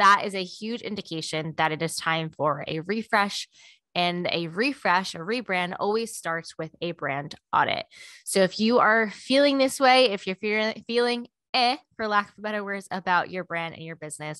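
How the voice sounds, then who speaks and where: A woman at a moderate pace with big swings in loudness, dry sound with no echo and a quiet background. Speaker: podcast host. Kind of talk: promotional podcast segment. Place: home room. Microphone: studio mic.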